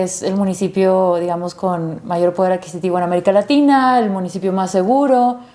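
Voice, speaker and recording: A woman speaks at a moderate pace with a slight Monterrey accent. Her pitch varies in an ordinary way. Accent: slight Monterrey (regio). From Monterrey, Mexico (San Pedro). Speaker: activist and producer. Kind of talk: interview.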